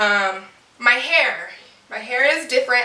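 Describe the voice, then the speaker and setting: Fairly high female speech at an unhurried, moderate tempo, amid noticeable background noise and audible echo from the room. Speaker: vlogger. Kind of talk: casual chat. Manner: halting.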